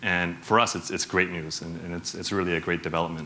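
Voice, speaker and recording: Very deep and low in pitch yet bright and sharp in tone, a man speaks at a very fast pace. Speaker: bank executive, conference speaker. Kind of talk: conference talk. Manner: animated; many fillers, casual.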